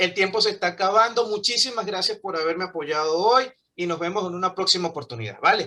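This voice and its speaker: A man's raised, projected voice comes at a very fast pace. His pitch is high, with ordinary variation. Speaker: English teacher. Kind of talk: online class.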